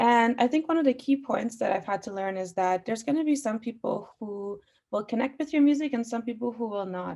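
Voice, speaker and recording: In a very clean recording with a silent background, a woman with a fairly high pitch and a dark, mellow tone speaks at a fairly quick pace with ordinary pitch variation. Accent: Iranian. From Austria (Vienna), Iranian family, moved to Canada. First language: Farsi. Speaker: musician. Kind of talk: panel discussion. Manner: frequent fillers.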